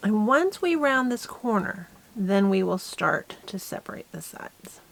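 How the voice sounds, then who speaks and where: A woman's fairly high voice moves fairly slowly, her intonation lively, while background noise is clearly heard. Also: big swings in loudness. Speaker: homesteading YouTuber. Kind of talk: crafting tutorial.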